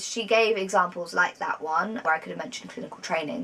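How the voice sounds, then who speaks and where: A woman's medium-pitched voice, with ordinary rise and fall, comes through noticeable background noise. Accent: British. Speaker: vlogger, psychology graduate. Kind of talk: casual vlog talk. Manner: fast.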